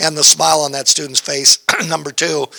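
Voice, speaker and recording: A man with a fairly high voice speaks at a fairly quick pace in a monotone, flat delivery. The sound is dry and close with no echo, though noticeable background noise is present. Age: 60s. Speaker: community college instructor. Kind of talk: panel discussion.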